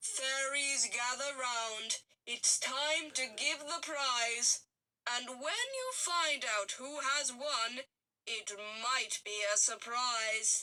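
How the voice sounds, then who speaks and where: A woman's put-on character voice, high-pitched and very slow-paced. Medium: read story.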